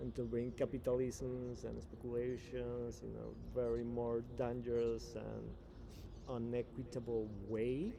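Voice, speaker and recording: A fairly slow-paced man's voice with audible room echo. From Venezuela. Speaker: blockchain and spirituality guest. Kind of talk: interview. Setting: in person. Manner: halting.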